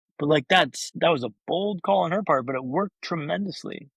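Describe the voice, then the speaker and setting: A man speaks with ordinary pitch variation. The sound is dry and close, with no echo. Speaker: brain injury survivor and speaker. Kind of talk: interview storytelling. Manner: fast.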